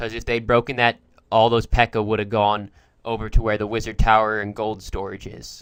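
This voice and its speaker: Big swings in loudness mark this man's fairly quick, monotone, flat delivery at a fairly low pitch. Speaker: gaming commentator. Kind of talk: gameplay commentary.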